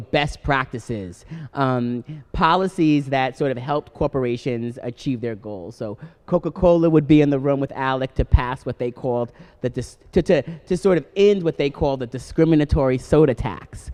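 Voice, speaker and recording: A man with a Long Island accent speaks at a moderate pace in a fairly high pitch, his pitch varying in an ordinary way, with a dry, close sound and no echo. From Long Island, New York. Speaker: political activist. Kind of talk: live radio interview. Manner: many fillers and restarts.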